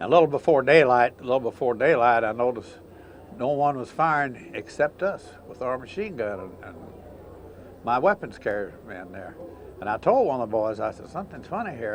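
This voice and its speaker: Speaking at a moderate pace with an American accent, a man uses very wide pitch swings and big swings in loudness. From Indiana, USA. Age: 80s+. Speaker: war veteran. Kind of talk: interview answer.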